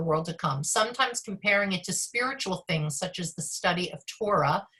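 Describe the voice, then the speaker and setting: At a fairly quick pace, a woman talks at a medium pitch. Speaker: rabbi. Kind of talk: online class lecture. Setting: video call. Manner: fast.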